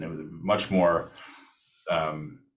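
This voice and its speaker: Audible room echo carries a man's very deep, low pitch as he speaks at a fairly slow pace with fairly even intonation. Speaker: singer-songwriter and producer. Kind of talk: interview. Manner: halting.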